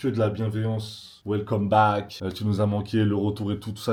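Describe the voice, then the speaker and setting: A man speaks at a medium pitch. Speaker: vlogger, Kings League footballer. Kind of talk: casual vlog talk. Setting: at home editing. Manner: fast, energetic; loud.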